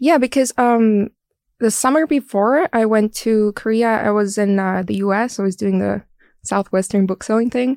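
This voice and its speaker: In a dry, close sound with no echo, a woman with an Estonian accent speaks at a fairly high pitch with ordinary pitch variation. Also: moderate pace, very clean recording, silent background. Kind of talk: casual interview.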